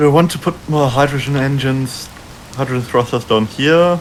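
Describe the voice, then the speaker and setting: Over noticeable background noise, the speech moves at a moderate pace. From Germany. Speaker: streamer. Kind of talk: casual chat.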